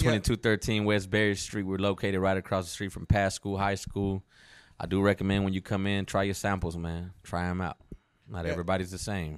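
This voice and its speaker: Confident and relaxed in tone, a man with an American accent speaks in a very deep, low voice at a fairly quick pace with monotone, flat intonation, on a very clean recording with a silent background. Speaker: podcast guest, shop owner. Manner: confident, relaxed.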